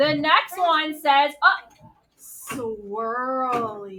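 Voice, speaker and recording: An animated woman projects her voice at a high pitch with lively intonation. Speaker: art teacher. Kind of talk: classroom instruction to young children. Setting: classroom.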